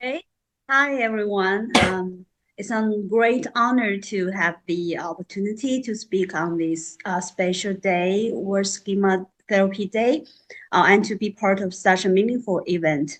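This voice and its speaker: Speaking at a fairly slow pace, a woman with a Chinese accent keeps a medium pitch with ordinary pitch variation. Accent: Mandarin Chinese-accented English. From central mainland China. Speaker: psychological counselor and school counselor. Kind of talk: panel self-introduction. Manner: halting, many fillers.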